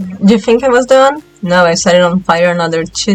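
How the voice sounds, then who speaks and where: Fairly quick speech with ordinary pitch variation and music in the background. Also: woman. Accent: non-native. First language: not English. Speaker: doll hobbyist vlogger. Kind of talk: voiceover narration of crafting video. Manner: self-deprecating, playful.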